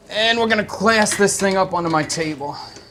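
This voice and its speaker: A man speaks with an American accent. Noticeable background noise sits behind him. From US East Coast, Philadelphia. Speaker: chef and live-stream cooking host. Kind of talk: live cooking stream, casual chat. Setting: studio kitchen.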